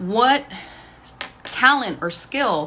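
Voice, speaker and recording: An animated woman with an American accent, bright and sharp in tone, lively in intonation, with audible room echo around her. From Texas, Waco. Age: 40s. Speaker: online business and music coach. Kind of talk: casual livestream talk while getting ready. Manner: conversational, animated.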